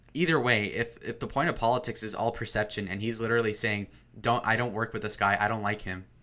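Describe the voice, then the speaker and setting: A man shouts loudly at a very fast pace and medium pitch. His tone is bright and sharp, his intonation fairly even. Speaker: livestreamer reading chat. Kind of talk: casual livestream rant. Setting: home alone, streaming. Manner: loud, yelling into mic.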